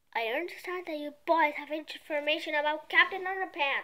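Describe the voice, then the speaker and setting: A woman's put-on character voice at an extremely high pitch, fairly quick in pace, with fairly even intonation and big swings in loudness. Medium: read story. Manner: growling, menacing.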